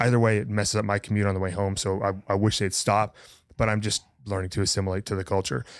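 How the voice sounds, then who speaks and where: On a very clean recording with a silent background, a man talks very fast at a fairly low pitch with fairly even intonation. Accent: American. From rural north-central Montana. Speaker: podcast co-host. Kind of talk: casual chat.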